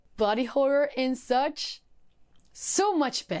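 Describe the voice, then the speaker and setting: In a very clean recording with a silent background, a woman with a non-native accent talks at a fairly slow pace with lively intonation. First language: not English. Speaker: book YouTuber. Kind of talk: casual book review vlog. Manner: animated.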